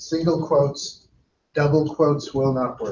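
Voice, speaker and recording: With an ordinary speaking voice, a man talks at a fairly slow pace and a fairly high pitch. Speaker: database instructor. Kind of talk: lecture.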